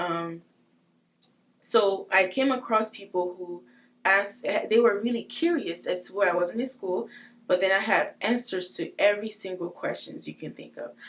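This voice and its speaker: A woman with a non-native accent speaks at a medium pitch and ordinary pitch variation. Her loudness swings widely. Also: moderate pace. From West Africa, Togo. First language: not English. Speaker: trafficking survivor. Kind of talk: testimony. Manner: hesitant, many fillers.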